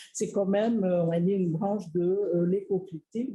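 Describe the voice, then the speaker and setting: This woman speaks at a medium pitch with a Tahitian accent, her tone dark and mellow and somewhat breathy. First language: Tahitian (speaking French). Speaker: researcher. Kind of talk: lecture. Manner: halting, many filler words.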